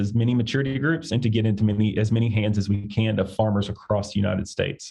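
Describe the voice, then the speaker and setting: Speaking fairly quickly with an Arkansas accent, a man uses a fairly low, somewhat breathy voice with a dark, mellow tone. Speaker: agricultural industry director. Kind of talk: interview. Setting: podcast recording. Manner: halting, with fillers.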